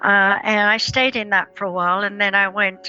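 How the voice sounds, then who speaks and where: Music plays in the background as a woman talks at a moderate pace. Her intonation is monotone and flat. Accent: English. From England. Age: 80s+. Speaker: esoteric author and paranormal researcher. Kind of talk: interview, life story. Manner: halting, many fillers.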